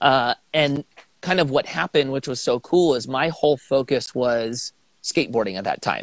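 In a normal speaking voice, a man talks at a medium pitch and a moderate pace with ordinary pitch variation, recorded with a dry, close sound and no echo. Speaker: pro skateboarder turned real estate investor. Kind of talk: casual interview.

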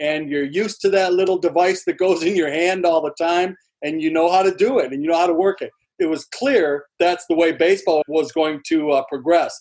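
A man speaks at a high pitch. His pace is fairly quick, with ordinary pitch variation. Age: 60s. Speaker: former pro baseball pitcher and broadcaster. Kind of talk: casual interview.

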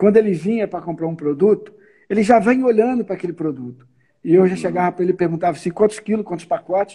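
Talking at a very fast pace, a man with a high pitch and a dark, mellow tone shows ordinary pitch variation. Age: 50s. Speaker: business owner, supermarket chain president. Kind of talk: casual interview.

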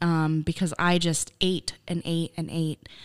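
In a very clean recording with a silent background, a woman with a fairly low pitch speaks at a very slow pace. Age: 20s. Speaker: guest sharing weight loss story. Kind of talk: casual interview, personal testimony. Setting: studio, seated across table.

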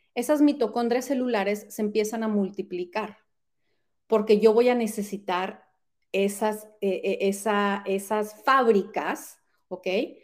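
At a fairly slow pace, a woman with a fairly high pitch and ordinary pitch variation talks in a plain, everyday voice on a very clean recording with a silent background. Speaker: health coach. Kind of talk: casual interview chat.

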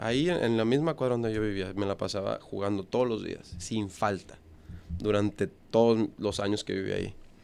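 A man's fairly low voice moves at a moderate pace, showing ordinary pitch variation. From Monterrey, northern Mexico. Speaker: professional baseball player. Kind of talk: interview. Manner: halting, many fillers.

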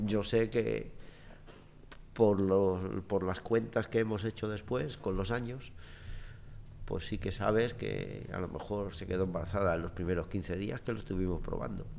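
A man speaks at a fairly slow pace in a very deep, low voice with vocal fry and ordinary pitch variation. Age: 60s. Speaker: interview guest. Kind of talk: casual chat.

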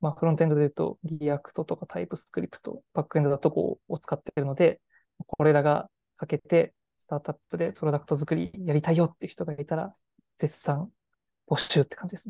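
A woman speaks at a very fast pace in a very deep, low voice with a dark, mellow tone, vocal fry, ordinary pitch variation, and big swings in loudness, the sound dry and close with no echo. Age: 20s. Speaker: startup CEO. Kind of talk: interview.

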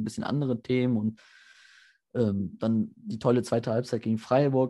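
Against a quiet background, a man with a dark, mellow tone and medium pitch speaks at a moderate pace with fairly even intonation. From Germany, Mönchengladbach (Lower Rhine). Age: 20s. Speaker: football fan and match analyst. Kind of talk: casual chat.

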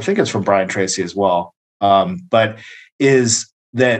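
This man has an unremarkable speaking voice at a medium pitch. His pitch varies in an ordinary way against a quiet background. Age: 30s. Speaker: boxing coach and gym owner. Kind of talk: casual chat.

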